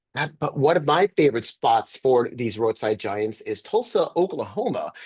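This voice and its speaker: A man speaks at a moderate pace in a fairly high voice, his pitch swinging very widely. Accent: New York. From US Northeast, Sleepy Hollow, New York. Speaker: journalist and author. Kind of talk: interview over video call. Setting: video call. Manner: many filler words and hesitations.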